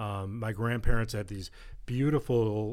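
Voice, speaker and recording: With an American accent, a man speaks in a plain, everyday voice at a fairly low pitch, fairly slowly and with fairly even intonation. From Western New York, near Buffalo. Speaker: addiction treatment executive. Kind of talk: interview, personal testimony. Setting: studio.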